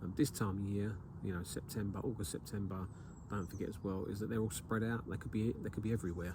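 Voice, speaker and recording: A man with an English accent talks very fast in a fairly low voice, with audible room echo around him. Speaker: carp angler and video maker. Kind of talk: outdoor fishing vlog tutorial. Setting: outdoors at a lake. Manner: hesitant, many fillers.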